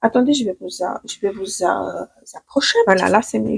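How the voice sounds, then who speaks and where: A woman speaks with a Ukrainian accent. The sound is dry and close, with no echo. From Ukraine. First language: Ukrainian (speaking French). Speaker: beauty stylist, makeup vlogger. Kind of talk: makeup tutorial. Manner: hesitant, many fillers and restarts.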